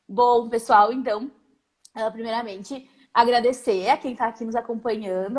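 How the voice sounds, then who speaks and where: This woman's voice is pitched fairly high. She keeps a moderate pace and fairly even intonation. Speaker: psychologist and professor. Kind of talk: live-stream interview. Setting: Instagram live video call.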